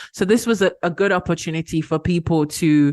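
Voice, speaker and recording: Recorded with a dry, close sound with no echo and a quiet background, a woman with a British accent speaks at a fairly low pitch with fairly even intonation. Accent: very British. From Ghana. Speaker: activist. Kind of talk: podcast interview.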